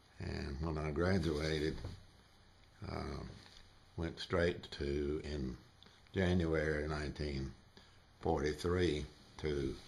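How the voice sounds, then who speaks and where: A man's very deep, low voice with a Southern US accent and vocal fry, flat and monotone, at a very slow pace with long, frequent pauses. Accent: Southern US (Georgia). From US South, northwest Georgia. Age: 80s+. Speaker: war veteran. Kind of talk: interview. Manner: halting, many fillers.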